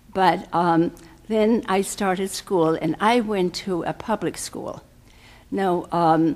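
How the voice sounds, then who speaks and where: With a German accent, a woman talks at a medium pitch with ordinary pitch variation. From Germany (Berlin). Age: 80s+. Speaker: guest speaker. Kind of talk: personal life talk. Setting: podium before live audience. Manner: halting, many fillers.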